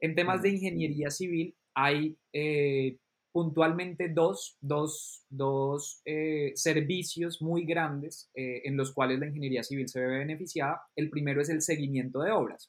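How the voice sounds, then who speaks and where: A man uses an ordinary speaking voice with a fairly high pitch. His intonation is fairly even and his pace fairly slow. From Colombia. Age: 30s. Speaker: drone consultant and trainer. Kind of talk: interview.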